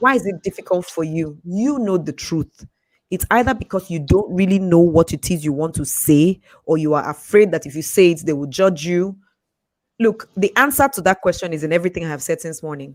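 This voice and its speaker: The voice sounds animated and moves at a fairly quick pace on a very clean recording with a silent background. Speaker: communication and life coach. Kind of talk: live Q&A session. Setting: studio livestream. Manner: fast.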